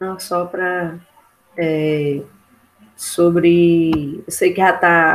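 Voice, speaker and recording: Her delivery is a monotone, flat intonation, and this woman's pitch sits fairly low. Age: 20s. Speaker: geography student. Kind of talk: casual chat. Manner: halting, many fillers.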